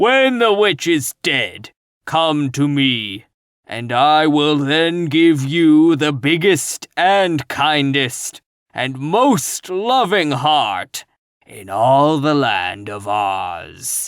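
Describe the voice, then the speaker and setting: In a put-on character voice, a man bellows and growls with a gruff edge at a fairly high pitch. He speaks at a very slow pace. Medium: read story. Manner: gruff, commanding.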